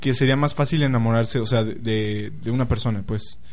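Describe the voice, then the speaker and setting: In a room with audible echo, a man with a Mexican accent speaks at a moderate pace in an animated tone. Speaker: podcast co-host. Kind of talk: casual chat.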